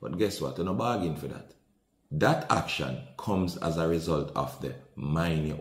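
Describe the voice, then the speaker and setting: Audible room echo surrounds a man with a Jamaican accent whose very deep, low voice carries vocal fry and an animated tone at a moderate pace. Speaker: podcast host, commentator. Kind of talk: commentary on viral video. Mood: indignant, animated. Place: home room.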